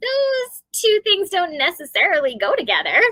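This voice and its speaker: In a put-on character voice, a woman squeaks at an extremely high pitch, her pitch swinging very widely at a moderate pace. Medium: read story. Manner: frank, teasing.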